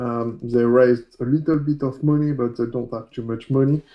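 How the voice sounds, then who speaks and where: A man's medium-pitched voice with a French accent and ordinary pitch variation. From France. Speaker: coding instructor. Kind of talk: tutorial. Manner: loud; halting.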